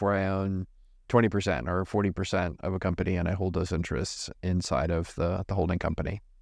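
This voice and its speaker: Against a quiet background, a man with an ordinary speaking voice talks fairly quickly at a fairly low pitch, his intonation fairly even. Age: 40s. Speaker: entrepreneur running a holding company. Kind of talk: interview.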